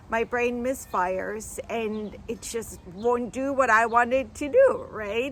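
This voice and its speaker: A woman with a German accent talks fairly slowly, her fairly high pitch moving with ordinary variation. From Germany. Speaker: vlogger. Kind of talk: casual vlog monologue.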